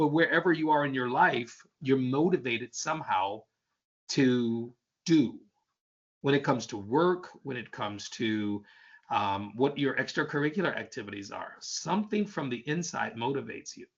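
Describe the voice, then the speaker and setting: A man's plain, everyday voice, fairly high in pitch, with lively intonation and a moderate pace. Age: 60s. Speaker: leadership workshop speaker. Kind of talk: online workshop presentation.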